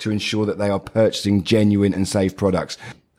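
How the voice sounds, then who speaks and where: A man talks with a British accent. His pace is very fast. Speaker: podcast host. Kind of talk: scripted intro then casual chat.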